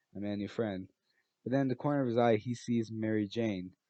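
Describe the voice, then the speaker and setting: Fairly flat intonation marks this man's delivery. Background music accompanies him. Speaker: fan fiction storyteller. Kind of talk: casual story narration. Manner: halting, many restarts.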